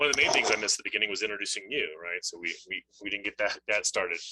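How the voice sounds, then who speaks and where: A man at a very fast pace, in a dry, close sound with no echo. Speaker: webinar moderator. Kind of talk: webinar closing remarks.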